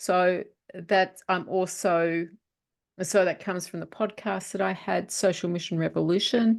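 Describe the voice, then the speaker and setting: A woman speaks with an Australian accent at a medium pitch. The background is quiet. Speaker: author and publisher. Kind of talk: interview.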